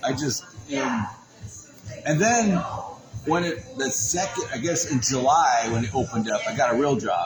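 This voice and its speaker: Over music in the background and audible room echo, a man at medium pitch talks at a moderate pace with very wide pitch swings and long, frequent pauses. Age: 60s. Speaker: photographer and podcast host. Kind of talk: casual chat. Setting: in person at a venue.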